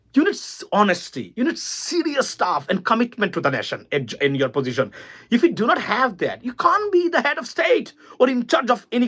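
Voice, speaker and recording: A man speaks at an extremely high pitch with very wide pitch swings. His tone is bright and sharp. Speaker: political commentator. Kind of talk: political monologue. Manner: animated.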